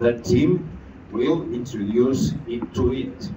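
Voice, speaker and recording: A man with a Catalan accent speaks very slowly at a medium pitch. Room echo is audible. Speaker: education network leader. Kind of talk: ceremony speech.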